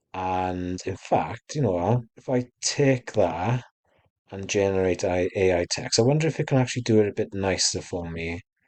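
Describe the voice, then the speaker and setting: A man talks quietly in a British accent, his pitch fairly low. He keeps a moderate pace with ordinary pitch variation. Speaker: small online shop owner. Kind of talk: tutorial. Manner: casual, hesitant with fillers.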